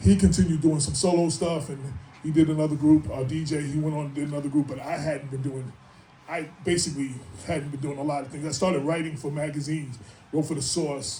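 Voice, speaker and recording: A man with a New York accent and fairly high pitch, talking at a very fast pace with audible room echo. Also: fairly even intonation. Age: 60s. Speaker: hip-hop artist and writer. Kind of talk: speaking engagement. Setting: stage with audience. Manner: casual, rambling.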